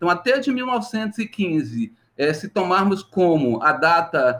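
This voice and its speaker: High-pitched male voice with lively intonation. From Minas Gerais, Brazil (Vale do Jequitinhonha). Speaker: history professor. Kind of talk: interview.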